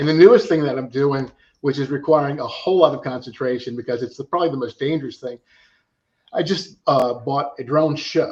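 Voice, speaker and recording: The voice is somewhat breathy, with fairly even intonation. It moves at a fairly quick pace. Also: man, fairly high pitch for a man. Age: 60s. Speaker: drone pilot and drone show operator. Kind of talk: casual podcast interview.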